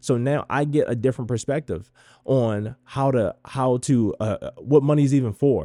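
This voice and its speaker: Dark, mellow tone from a man with an American accent, medium pitch, ordinary pitch variation, a dry, close sound with no echo and a very clean recording with a silent background. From Baltimore, US. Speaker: podcast host. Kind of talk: solo monologue. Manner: hesitant, many fillers.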